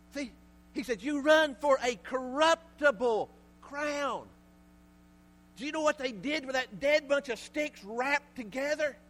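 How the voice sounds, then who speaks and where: With a Southern US accent, a man speaks at an extremely high pitch, with ordinary pitch variation and long, frequent pauses. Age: 50s. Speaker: pastor. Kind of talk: sermon. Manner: animated.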